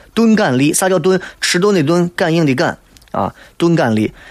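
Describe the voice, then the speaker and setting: With a Shaanxi accent, a man speaks at a high pitch in an animated tone. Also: long, frequent pauses, very even loudness. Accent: Shaanxi dialect (Guanzhong). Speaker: radio talk show host. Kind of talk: casual radio monologue.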